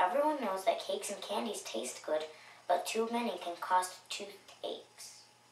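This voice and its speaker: A put-on character voice, squeaky in sound, moves along at a moderate pace. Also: female-sounding voice, medium pitch for a woman. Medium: read story.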